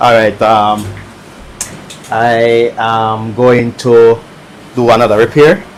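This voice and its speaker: The speech moves at a very slow pace with long, frequent pauses. Noticeable background noise sits behind it. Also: man, medium pitch for a man, fairly even intonation. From Jamaica. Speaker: electronics repair streamer. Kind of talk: live stream commentary while repairing. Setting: live stream. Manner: casual, relaxed.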